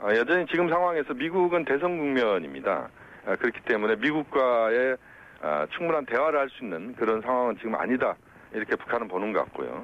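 A man with a plain, everyday voice, medium pitch, lively intonation and a fairly quick pace. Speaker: professor. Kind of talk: phone interview. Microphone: unstable connection.

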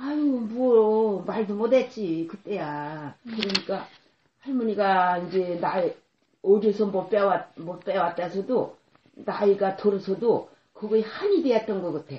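Very slowly, a woman talks at a medium pitch, her pitch varying in an ordinary way. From South Korea, Socheong Island (Yellow Sea). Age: 80s+. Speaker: elderly islander interviewee. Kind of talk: oral history interview. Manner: halting.

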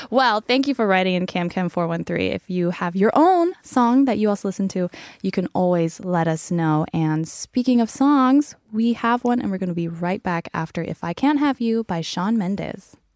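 Recorded very cleanly against a silent background, with a dry, close sound and no echo, a woman talks at a moderate pace with lively intonation and hardly any pauses. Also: medium pitch for a woman. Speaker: radio host. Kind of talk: casual radio chat. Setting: radio studio.

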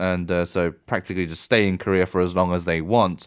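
A man talks at a very fast pace with a British accent. The recording is very clean, with a silent background. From UK. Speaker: reporter. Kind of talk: radio news segment, conversational fact-check.

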